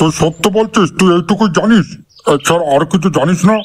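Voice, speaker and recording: Delivered at a moderate pace, this cartoonish character voice keeps its loudness very even and its pitch variation ordinary. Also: man, high pitch for a man. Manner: coarse, bossy and threatening.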